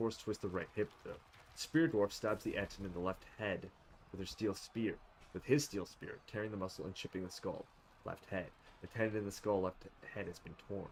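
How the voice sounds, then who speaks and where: A man with a plain, everyday voice, fairly low pitch, fairly even intonation and a fairly quick pace. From Canada. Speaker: gaming streamer. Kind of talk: reading game combat log aloud.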